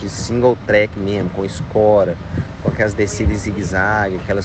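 A man with a fairly low pitch talks at a moderate pace. There's audible room echo and noticeable background noise. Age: 40s. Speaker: mountain bike athlete and coach. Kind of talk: voice message race report. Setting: phone voice messages. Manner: casual, with many fillers.

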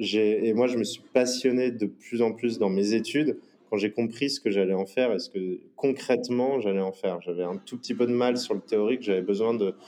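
Speaking at a moderate pace, a man with a dark, mellow tone keeps a medium pitch and fairly even intonation. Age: 30s. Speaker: entrepreneur. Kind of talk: interview. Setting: remote call. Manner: halting, many fillers.

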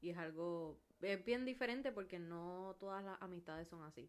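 A woman speaks in a Puerto Rican accent. Her pitch is fairly low and her pace fairly slow. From Puerto Rico, Carolina. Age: 20s. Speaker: podcast co-host. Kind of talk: casual chat.

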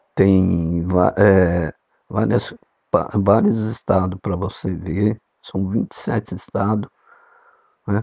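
Fairly even intonation from a man with a fairly low pitch. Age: 60s. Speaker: amateur podcaster. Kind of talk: casual monologue.

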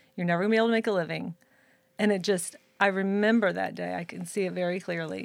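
Speaking at a very fast pace with an American accent, a woman holds a medium pitch in a very clean recording with a silent background. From Saint Louis, Missouri. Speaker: hairdresser and educator. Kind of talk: casual chat. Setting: live stream.

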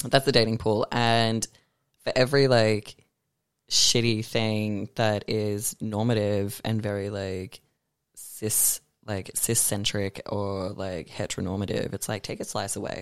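Recorded very cleanly on a silent background, dry and close with no echo, a man with an Australian accent speaks fairly slowly in fairly even intonation. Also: fairly low pitch for a man. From Melbourne, Australia. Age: 20s. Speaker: artist and drag performer. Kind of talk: casual chat.

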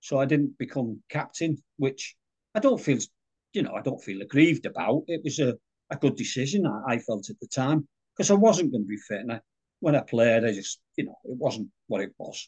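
A somewhat breathy man speaks at a fairly high pitch with very wide pitch swings. The sound is dry and close, with no echo. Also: moderate pace. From northern England, Widnes, Cheshire. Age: 70s. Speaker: retired rugby club stalwart. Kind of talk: casual interview chat.

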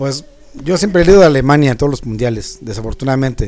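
A man with a medium-pitched voice rattles through his words very fast. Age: 50s. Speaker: music show panelist. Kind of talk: casual chat.

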